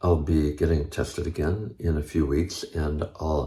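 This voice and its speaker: Vocal fry runs through a man's very deep, low voice. The tone is dark and mellow. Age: 70s. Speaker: health and longevity video host. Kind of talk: informational talk to camera.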